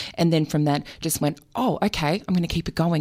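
With an Australian accent, a woman speaks fairly quickly in a fairly even intonation. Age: 40s. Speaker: author. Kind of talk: radio interview.

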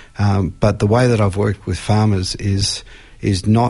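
Against a quiet background, a man with an Australian accent speaks at a fairly low pitch in a somewhat breathy voice. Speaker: forester, farmer and university lecturer. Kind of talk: radio interview. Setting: radio studio.

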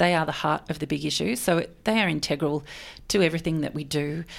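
The speaker talks at a very fast pace with an Australian accent and ordinary pitch variation. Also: woman. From Melbourne, Australia. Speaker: magazine editor. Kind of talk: radio interview. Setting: radio studio.

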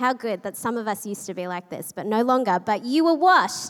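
A woman talks in an Australian accent. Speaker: pastor. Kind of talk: sermon. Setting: church with live audience.

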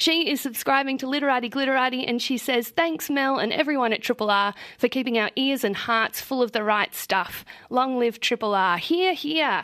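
Here a woman speaks with an Australian accent at a moderate pace. Her voice is high-pitched with a bright, sharp tone and ordinary pitch variation. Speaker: radio book show host. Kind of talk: radio interview and subscriber shout-outs. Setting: radio studio.

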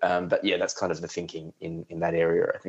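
In an Australian accent, a man talks at a very fast pace. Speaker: journalist. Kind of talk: radio interview.

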